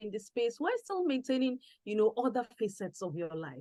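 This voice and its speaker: Here a woman speaks in a normal speaking voice. Her pitch is fairly high and her pace moderate. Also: dry, close sound with no echo. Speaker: event host. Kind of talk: interview questions.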